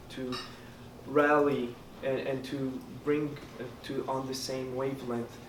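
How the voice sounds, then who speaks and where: In a Quebec accent, a man speaks in a flat monotone against audible room echo. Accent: Québécois French accent in English. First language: French. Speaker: student election candidate. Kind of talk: debate answer. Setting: hall with audience. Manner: halting.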